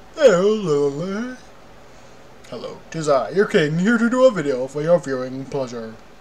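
Someone does a put-on character voice at a middle pitch, with clear background noise. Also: moderate pace. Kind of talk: formal, archaic. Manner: regal, pompous.

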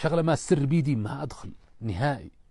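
Somewhat breathy and dark, mellow in tone, a man's voice comes through dry with no echo against a quiet background. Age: 50s. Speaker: businessman; guest. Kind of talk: interview. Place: tent. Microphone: lapel.

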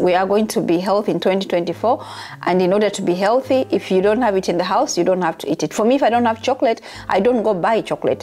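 Her delivery is very fast, at a medium pitch with ordinary pitch variation. The woman keeps a very even loudness throughout. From Uganda. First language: Ugandan language (not English). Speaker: YouTuber and nurse; YouTuber. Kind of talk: casual vlog monologue. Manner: halting, repeats words; casual, chatty. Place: home room. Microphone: lapel.

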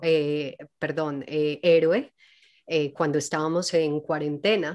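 Over a quiet background, a woman talks very slowly. Her very deep, low voice stays monotone and flat. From Colombia, Medellín (paisa). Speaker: actress and singer; actress. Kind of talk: casual interview. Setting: video call. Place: home room. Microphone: studio mic.

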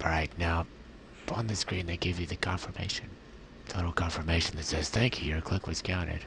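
A soft-spoken man talks at a fairly quick pace with a very deep, low pitch. His intonation stays fairly even over noticeable background noise. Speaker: ventilator-dependent quadriplegic. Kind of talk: software tutorial demo.

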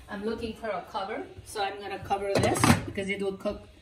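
Over loud background noise, a woman speaks with fairly even intonation. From Nepal. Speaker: home cooking video host. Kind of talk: cooking tutorial; tutorial. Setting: home kitchen. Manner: hesitant with frequent fillers. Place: kitchen. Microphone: phone near.

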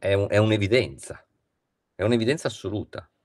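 A man is speaking. The background is quiet. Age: 50s. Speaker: philosophy professor. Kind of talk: lecture. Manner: halting. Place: home room. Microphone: video call.

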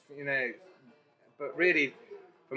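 A man is speaking. Music plays in the background. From London. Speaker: tech training company founder and CEO. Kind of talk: interview. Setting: in person, sitting down.

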